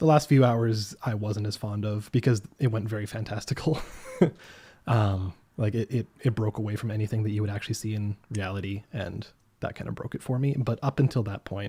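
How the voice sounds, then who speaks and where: A man speaks at a fairly quick pace. His tone is dark and mellow and somewhat breathy. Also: fairly low pitch for a man, fairly even intonation. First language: French. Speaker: gaming podcast panelist. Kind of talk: casual chat.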